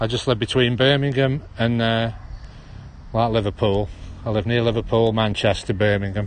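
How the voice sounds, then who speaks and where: A man talks at a fairly quick pace with a Stoke-on-Trent accent. His pitch sits in the medium range. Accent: Stoke-on-Trent accent, drops H's. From Stoke-on-Trent, English Midlands. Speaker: live streamer. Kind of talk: casual walking livestream. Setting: outdoors in a park.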